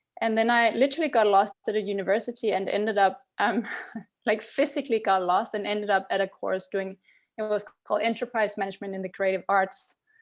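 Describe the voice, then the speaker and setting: Against a quiet background, a woman with a Danish accent and a medium-pitched voice talks at a very fast pace with ordinary pitch variation. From Denmark. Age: 40s. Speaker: tech founder. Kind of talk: podcast interview. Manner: hesitant, many ums.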